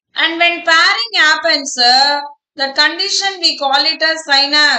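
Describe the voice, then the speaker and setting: A raised, projected voice with a bright, sharp tone and ordinary pitch variation moves at a fairly slow pace, its loudness very even amid audible room echo. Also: woman, extremely high pitch for a woman. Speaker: biology teacher. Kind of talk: online live class lecture. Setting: online live class. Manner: slow, deliberate.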